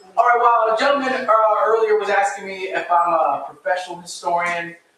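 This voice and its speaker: Raised and projected, a man's high-pitched voice carries audible room echo. He talks at a fairly quick pace. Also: ordinary pitch variation. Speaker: local historian and author. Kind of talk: public lecture. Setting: live talk with audience, microphone, livestreamed. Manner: fast.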